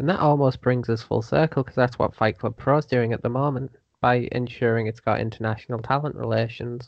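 A man's plain, everyday voice at a medium pitch, fairly quick and with hardly any pauses, in fairly even intonation. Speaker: podcast guest, wrestling writer.

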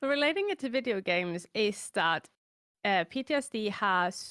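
A woman speaks in a Norwegian accent with ordinary pitch variation. The recording is very clean with a silent background and a dry, close sound with no echo. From Norway. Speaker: chronically ill content creator. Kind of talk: casual interview chat.

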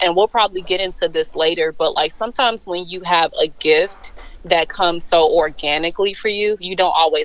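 A woman talks at a fairly quick pace in an unremarkable speaking voice, with fairly low pitch and ordinary pitch variation. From Chicago suburbs, US Midwest. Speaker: brand style strategist. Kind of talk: casual interview.

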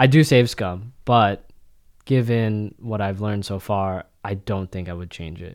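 A normal speaking voice with an American accent moves at a fairly slow pace with ordinary pitch variation. The recording is very clean, with a silent background. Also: man, fairly low pitch for a man, big swings in loudness. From US, Florida (early years in the Philippines). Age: 20s. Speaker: podcast guest. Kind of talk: casual chat.

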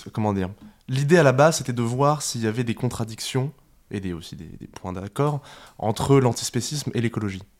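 In a very clean recording with a silent background, a man speaks at a moderate pace and medium pitch with ordinary pitch variation, big swings in loudness, and long, frequent pauses. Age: 20s. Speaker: animal rights youth activist. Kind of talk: casual interview. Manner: halting.

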